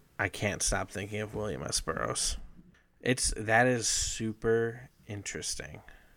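Vocal fry runs through the voice. The pitch rises and falls in an ordinary way. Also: man, fairly low pitch for a man. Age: 30s. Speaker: podcast co-host. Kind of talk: casual chat.

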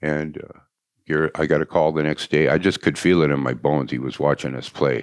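With an American accent and vocal fry, a man speaks at a fairly quick pace in a very deep, low voice with fairly even intonation. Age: 70s. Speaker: musician. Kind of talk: casual interview chat. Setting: studio.

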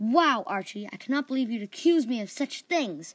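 A woman's put-on character voice, fairly high, at a moderate pace, with very wide pitch swings. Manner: feigned offense, mocking.

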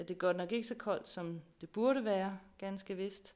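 This woman talks at a fairly slow pace with fairly even intonation. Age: 40s. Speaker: pastor. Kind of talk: sermon.

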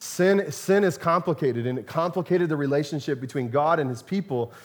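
This man talks at a fairly quick pace with lively intonation and fairly high pitch. He has an unremarkable speaking voice. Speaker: pastor. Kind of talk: sermon with closing prayer. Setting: church with congregation. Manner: warm, conversational.

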